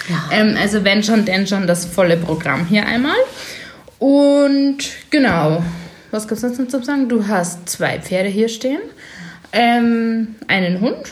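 Amid noticeable background noise and audible room echo, a woman with a fairly high pitch and lively intonation speaks at a very slow pace with long, frequent pauses. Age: 20s. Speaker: podcast co-host, massage and body treatment therapist. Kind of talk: casual chat. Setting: sitting on a cosmetics treatment bed, drinking sparkling wine.

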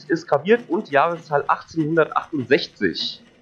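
Music plays behind a man whose fairly high voice has lively intonation. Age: 30s. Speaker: game show contestant. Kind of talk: casual role-play game.

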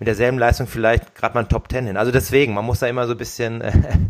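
With fairly even intonation and a medium pitch, a man talks at a very fast pace. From Germany, Darmstadt (Hesse). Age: 30s. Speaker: professional triathlete, podcast co-host. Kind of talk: casual chat.

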